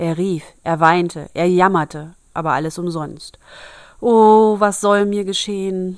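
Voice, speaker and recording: A woman's medium-pitched voice, very slow and fairly even in intonation, on a very clean recording with a silent background. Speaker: podcast host reading fairy tales. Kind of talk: reading aloud; casual chat. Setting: home bedroom.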